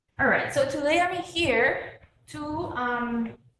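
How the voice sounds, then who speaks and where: A woman talks at a very slow pace with audible room echo. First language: Spanish. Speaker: public health educator. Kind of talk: community presentation. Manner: hesitant, many fillers.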